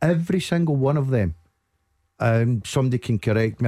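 A man with a Scottish accent, dark, mellow tone, lively intonation and fairly quick pace, in a dry, close sound with no echo. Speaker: football pundit. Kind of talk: radio phone-in discussion. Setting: studio.

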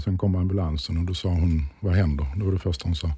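At a very fast pace, a man talks in a very deep, low pitch that sounds somewhat breathy. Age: 40s. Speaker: interview guest sharing weight-loss story. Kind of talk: interview. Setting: studio.

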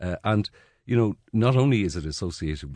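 A man with an Irish accent speaks in a dark, mellow tone with very wide pitch swings. The sound is dry and close with no echo, over a quiet background. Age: 60s. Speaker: journalist. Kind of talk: radio panel discussion. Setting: studio.

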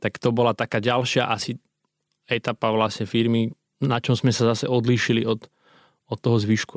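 A man's normal speaking voice at a medium pitch and fairly quick pace, dry and close with no echo, in a very clean recording over a silent background. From western Slovakia, Myjava region. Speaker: entrepreneur. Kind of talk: interview. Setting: studio.

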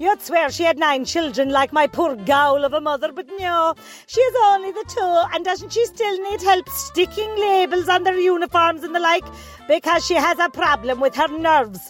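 With music in the background, a woman in a North Cork accent speaks at an extremely high pitch. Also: lively intonation, moderate pace. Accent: North Cork Irish. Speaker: caller to comedy advice segment. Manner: gossipy, comic rant.

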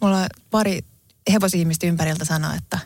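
A woman with a fairly low pitch talks in a somewhat breathy voice. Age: 40s. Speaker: podcast co-host. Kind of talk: casual chat.

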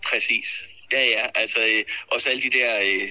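A man is talking. Noticeable background noise is present. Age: 30s. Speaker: real estate agent. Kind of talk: casual chat. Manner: halting.

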